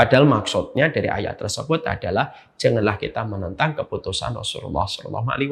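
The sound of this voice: A man talks at a fast pace with vocal fry. His voice carries a slightly husky edge.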